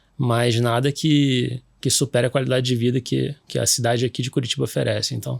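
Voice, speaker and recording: A man with a Rio de Janeiro accent. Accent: Rio de Janeiro (carioca). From Rio de Janeiro, Brazil. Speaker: orthopedic surgeon, sports medicine doctor. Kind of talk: podcast interview. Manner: hesitant, many fillers and restarts.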